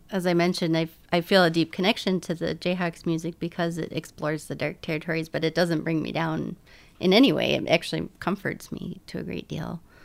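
On a very clean recording with a silent background, a woman speaks at a fairly low pitch with vocal fry and fairly even intonation. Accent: American. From US Midwest. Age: 30s. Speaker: podcast host. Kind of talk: interview. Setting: at home.

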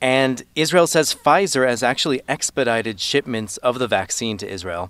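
At a fairly quick pace, a man uses an ordinary speaking voice at medium pitch with ordinary pitch variation. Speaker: foreign correspondent. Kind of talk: news report conversation.

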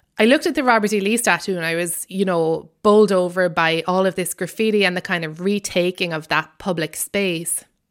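Fairly quick and with hardly any pauses, a woman with an Irish accent speaks in a medium pitch and an animated tone, with ordinary pitch variation, in a very clean recording with a silent background. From Ireland. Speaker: comedian and author. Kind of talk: radio interview, conversational. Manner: animated, humorous, laughs often.

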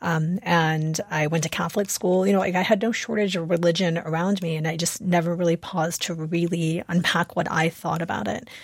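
In a normal speaking voice, a woman with a fairly low pitch talks at a fairly quick pace with fairly even intonation and hardly any pauses. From US Midwest, Chicago suburbs. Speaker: author. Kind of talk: radio interview. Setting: remote studio.

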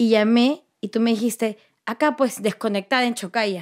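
The woman has a plain, everyday voice, pitched fairly high, speaking at a moderate pace in a very clean recording with a silent background. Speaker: interviewee, daughter. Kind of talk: interview.

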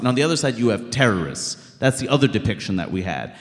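An unremarkable speaking voice with an American accent carries lively intonation. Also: man. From Queens, New York. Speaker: comedian and documentary filmmaker. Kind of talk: live interview on stage. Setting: stage with audience.

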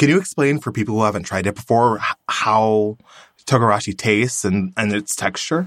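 A man with a plain, everyday voice speaks at a fairly quick pace, his pitch fairly low with ordinary pitch variation. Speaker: podcast host. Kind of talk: interview, warm casual chat.

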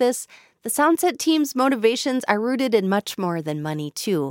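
Speaking fairly quickly in an American accent, a woman with a fairly high pitch comes through in a very clean recording with a silent background. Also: dry, close sound with no echo. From Minnesota. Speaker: radio host and podcast narrator. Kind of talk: scripted narration.

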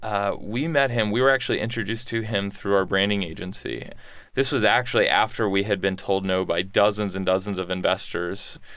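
A plain, everyday voice with an American accent. The pitch varies in an ordinary way, and the pace is fairly quick. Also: man, fairly low pitch for a man. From Texas, Houston. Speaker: entrepreneur. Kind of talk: interview.

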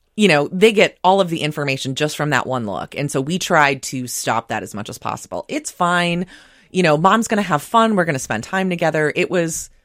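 Recorded very cleanly against a silent background, a woman speaks at a fairly quick pace in a normal speaking voice, her fairly low pitch carried by lively intonation. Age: 30s. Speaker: breast cancer survivor. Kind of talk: radio interview. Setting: studio.

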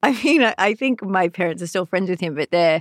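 Recorded with a dry, close sound and no echo, a woman with an Australian accent speaks fairly quickly at medium pitch. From Sydney, Australia. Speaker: comedian. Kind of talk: casual chat. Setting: studio.

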